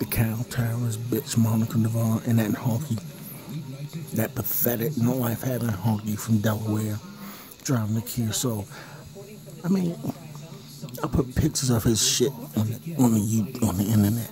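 A man's menacing voice at a moderate pace, with ordinary pitch variation, long, frequent pauses, a dry sound with no echo and noticeable background noise. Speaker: person filming meter readings. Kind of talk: angry rant, paranoid vlog-style tirade. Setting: home at night, recording in his house. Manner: seething, hostile, cursing and taunting; repetitive, accusatory, menacing. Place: home room. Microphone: phone near.

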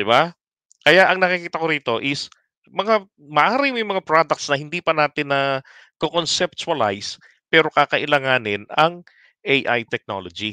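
A man talks at a moderate pace with a fairly high pitch and very wide pitch swings. His tone is bright and sharp, the sound is dry with no echo, and the background is quiet. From Philippines. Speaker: political commentary livestreamer. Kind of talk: live stream commentary. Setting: late-night live stream.

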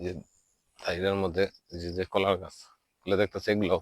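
A man speaks in a very deep, low pitch with monotone, flat intonation. The recording is very clean with a silent background, and the sound is dry and close with no echo. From Bangladesh, Tangail district. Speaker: local council member and vlogger. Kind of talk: walking video tour. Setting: outdoors in village.

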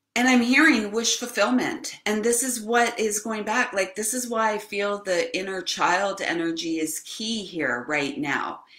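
With lively intonation and hardly any pauses, a woman speaks at a fairly slow pace amid audible room echo. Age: 50s. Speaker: spiritual channel host, card reader. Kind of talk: live stream oracle card reading. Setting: live video stream. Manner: casual, rambling with fillers. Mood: warm, earnest. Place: home room. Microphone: webcam.

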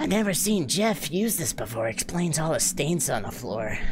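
Loud background noise sits behind a put-on character voice at a middle pitch. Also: moderate pace. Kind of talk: reading game dialogue aloud. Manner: dopey, dumb voice.

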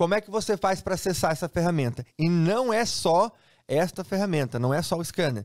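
In a Brazilian accent, the voice has an upbeat tone and lively intonation. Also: man, quiet background. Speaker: sports betting trainer and tool seller. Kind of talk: sales pitch. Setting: online video to camera. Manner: fast, upbeat, persuasive hard-sell; repeats phrases for emphasis, familiar tone. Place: home room.

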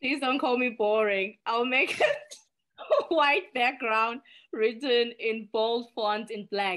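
Against a quiet background, a woman with a South African accent speaks at a very slow pace, her fairly high pitch showing ordinary variation. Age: 30s. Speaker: nonprofit executive director. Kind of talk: podcast interview. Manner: earnest. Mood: reflective, personal. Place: home room. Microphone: video call.

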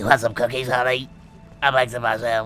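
Over clear music in the background, a man uses a raspy, put-on character voice at a medium pitch, talking fairly quickly with monotone, flat intonation. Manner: sweetly offering cookies.

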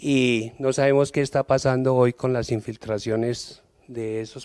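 A man speaks in a monotone, with flat intonation. The background is quiet. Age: old. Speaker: audience member. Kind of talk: audience question. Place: hall. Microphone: handheld.

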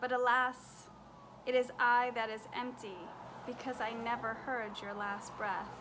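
Against noticeable background noise, a woman with a high pitch speaks in a flat monotone at a fairly slow pace. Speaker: poet and author. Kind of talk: poetry reading, grief poem read aloud. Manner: slow, tender, reflective; measured, rhythmic, heartfelt. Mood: warm, tender, smiling. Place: home room. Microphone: webcam.

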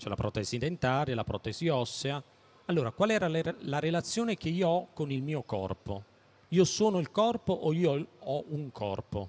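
Moving at a moderate pace, a man with fairly high pitch makes very wide pitch swings. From Naples, southern Italy; southern Italy. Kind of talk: public talk. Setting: stand at a public fair with audience. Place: hall. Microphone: handheld.

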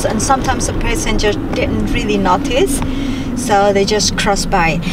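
A woman's voice, dry with no echo, moves at a moderate pace against loud background noise. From Indonesia. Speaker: vlogger. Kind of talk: casual talk to camera while driving. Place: car. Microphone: camera far.

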